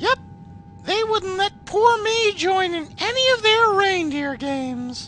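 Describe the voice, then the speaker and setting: A put-on character voice, squeaky and extremely high in pitch, moves at a fairly slow pace. Background noise is clearly audible. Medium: cartoon. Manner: sarcastic, crude.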